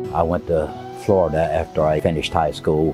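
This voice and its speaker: A relaxed man with a very deep, low pitch and an Appalachian accent, at a fairly quick pace, with music in the background. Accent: Southern American (Appalachian). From North Carolina, USA. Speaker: retired photographer. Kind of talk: interview answer. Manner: relaxed, conversational.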